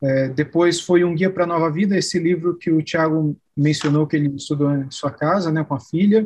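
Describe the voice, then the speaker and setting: A man with a fairly high pitch uses a normal speaking voice, talking at a moderate pace with fairly even intonation. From Brazil, São Paulo state (Araraquara). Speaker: pastor and seminary professor. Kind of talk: interview conversation.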